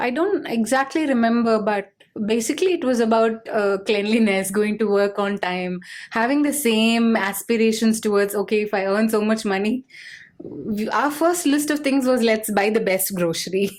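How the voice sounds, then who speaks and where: A woman with a Tamil accent speaks at a moderate pace, her fairly high pitch showing ordinary variation. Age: 40s. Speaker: business leader. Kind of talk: interview.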